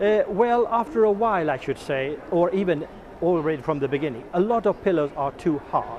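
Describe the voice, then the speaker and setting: At a moderate pace, the speaker talks with lively intonation in a Swedish accent. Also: man, high pitch for a man. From Sweden. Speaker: product developer. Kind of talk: interview. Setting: trade fair stand. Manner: halting.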